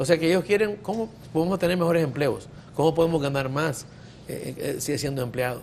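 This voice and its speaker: A man with an unremarkable speaking voice and a fairly high pitch speaks at a fairly quick pace with lively intonation. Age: 50s. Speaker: physician. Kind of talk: talk show discussion.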